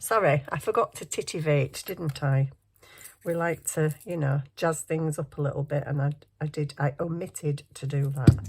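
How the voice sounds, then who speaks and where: A woman with a northern English accent, very deep and low, somewhat breathy, at a moderate pace with fairly even intonation on a very clean recording with a silent background. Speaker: crafting youtuber. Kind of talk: craft tutorial. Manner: casual, chatty.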